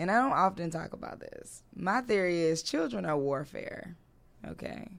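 Over noticeable background noise, a woman with an American accent and a fairly low pitch speaks at a moderate pace with lively intonation. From US South, Durham, North Carolina. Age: 30s. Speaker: creative entrepreneur and digital coach. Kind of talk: casual interview chat. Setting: studio.

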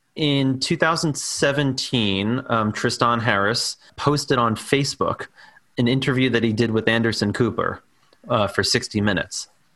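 In an American accent, a man talks fairly slowly at a medium pitch, with ordinary pitch variation, very even loudness and a bright, sharp tone. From New York, Staten Island. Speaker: documentary filmmaker. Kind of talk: interview.

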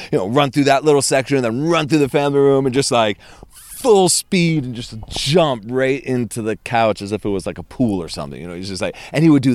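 At a very fast pace, a man with a medium pitch talks in an animated tone, his intonation lively and his loudness swinging widely. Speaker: tour guide. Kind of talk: casual chat.

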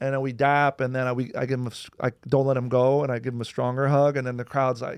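A man at medium pitch, very fast, in a monotone, flat intonation against a quiet background. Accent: American. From New Jersey. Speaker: comedian. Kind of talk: casual chat.

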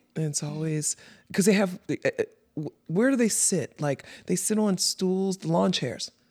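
A fairly slow pace in a New York accent. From the Bronx, New York. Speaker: podcast co-host. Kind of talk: casual chat; scripted intro reading. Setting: studio. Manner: animated.

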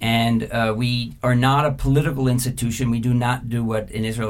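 A man speaks in a normal speaking voice at a medium pitch. His intonation is fairly even and his pace is moderate. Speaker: media executive and former journalist. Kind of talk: interview.

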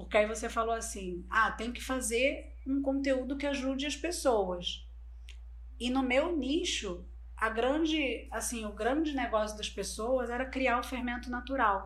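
Audible room echo hangs around the voice. The delivery is fairly slow in pace. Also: woman. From Brazil, Bolivian family. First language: Spanish (speaking Portuguese). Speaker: online course entrepreneur. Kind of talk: interview.

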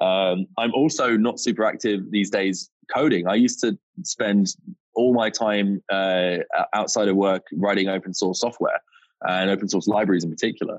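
With a British accent, a man speaks at a fairly low pitch and fairly even intonation. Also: moderate pace. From UK. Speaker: startup co-founder and CEO. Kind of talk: casual interview chat.

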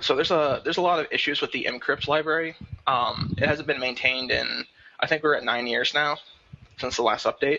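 Here is a man with a plain, everyday voice at a fairly high pitch. He talks at a fairly quick pace with fairly even intonation. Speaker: security and cryptography developer. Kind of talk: casual panel discussion. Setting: video call.

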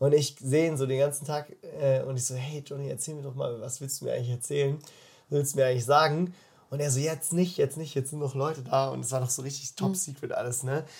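A man with a fairly high pitch, somewhat breathy, at a very fast pace. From Baden, southwest Germany (Freiburg). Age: 20s. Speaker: bible school leader. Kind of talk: casual interview. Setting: in person, face to face. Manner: animated, colloquial with many fillers.

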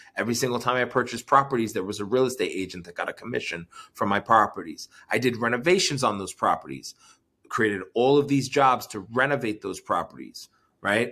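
Bright and sharp in tone, a man with an American accent speaks at a fairly quick pace in a medium pitch with ordinary pitch variation. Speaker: entrepreneur and investor. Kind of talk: interview.

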